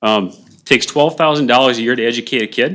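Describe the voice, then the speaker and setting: Against a quiet background, a man talks at a very fast pace at a medium pitch, with ordinary pitch variation. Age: 60s. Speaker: public commenter at county hearing. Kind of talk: public hearing testimony. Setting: county board meeting. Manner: fast, hurried.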